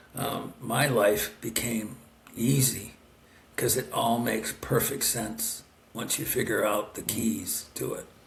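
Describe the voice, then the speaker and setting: With audible room echo and noticeable background noise around him, a man speaks fairly slowly. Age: 60s. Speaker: doctor. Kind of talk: interview. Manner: halting, many fillers.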